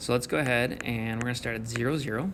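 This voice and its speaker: Noticeable background noise fills the clip. Over it, a man talks at a fairly quick pace. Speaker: math teacher. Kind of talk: recorded video lesson. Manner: fast; casual, encouraging.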